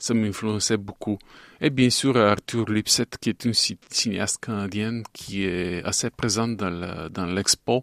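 A man's fairly low voice with a Bulgarian accent, very slow pace and fairly even intonation, in a very clean, dry, close recording with no echo and a silent background. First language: Bulgarian (speaking French). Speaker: animation filmmaker. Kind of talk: interview. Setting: studio. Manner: halting.

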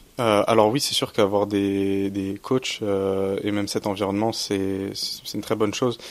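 The man speaks at a fairly low pitch in a monotone, flat intonation. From Champagne, France. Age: 20s. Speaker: student. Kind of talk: radio interview. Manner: halting.

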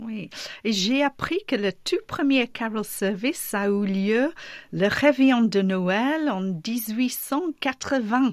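Lively intonation at a very slow pace, with a non-native accent, on a very clean recording with a silent background. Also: woman, fairly high pitch for a woman. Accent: foreign accent in French. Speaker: radio host. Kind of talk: radio interview.

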